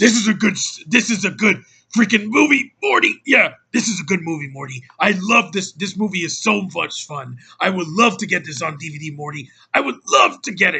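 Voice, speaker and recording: A put-on character voice, raspy, is delivered at a moderate pace. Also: man, high pitch for a man. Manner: manic, slurred.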